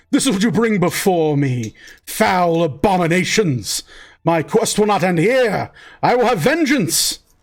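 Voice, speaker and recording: Using a put-on character voice, a man talks at a high pitch with very wide pitch swings, a moderate pace and very even loudness. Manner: vengeful, furious.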